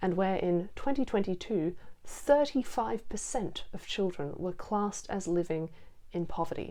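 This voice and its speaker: With a dark, mellow tone, a woman speaks at a moderate pace using lively intonation. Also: medium pitch for a woman. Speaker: video essayist. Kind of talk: video essay narration.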